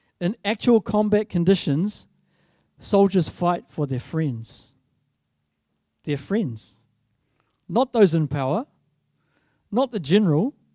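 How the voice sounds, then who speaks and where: Over a silent background in a very clean recording, a man with a New Zealand accent speaks at a very slow pace with long, frequent pauses, his high-pitched voice dark and mellow in tone and swinging very widely in pitch. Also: dry, close sound with no echo. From New Zealand, South Island. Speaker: guest preacher. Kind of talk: sermon. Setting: church.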